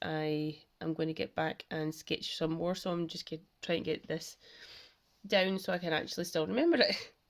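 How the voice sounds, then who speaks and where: A woman puts on a raspy character voice, pitched fairly low. She speaks at a moderate pace with fairly even intonation. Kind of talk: casual, explanatory. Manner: talking really fast.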